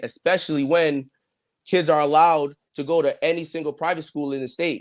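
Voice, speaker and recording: A man's fairly high, monotone, flat voice on a very clean recording with a silent background. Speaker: high school football coach. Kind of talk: podcast interview. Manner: loud, boisterous.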